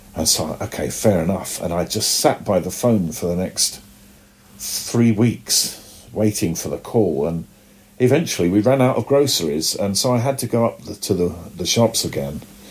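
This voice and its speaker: A man with a British accent, lively intonation and a moderate pace. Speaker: comic book artist. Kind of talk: casual interview.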